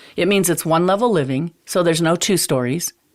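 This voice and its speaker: On a very clean recording with a silent background, a woman with a normal speaking voice talks at a fairly low pitch with ordinary pitch variation. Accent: American. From eastern Montana. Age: 50s. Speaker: realtor. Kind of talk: podcast interview.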